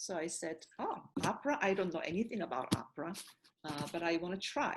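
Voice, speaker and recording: A woman with a Korean accent speaks at a fairly quick pace in a fairly low voice, her intonation lively. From South Korea. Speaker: opera singer and voice professor. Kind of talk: interview conversation. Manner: halting, many fillers.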